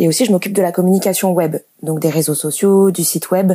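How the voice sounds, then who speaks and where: Dark and mellow in tone, a woman's voice sits at a medium pitch. She talks at a fairly quick pace. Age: 20s. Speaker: theatre communications officer. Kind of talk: casual interview. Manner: hesitant, many fillers.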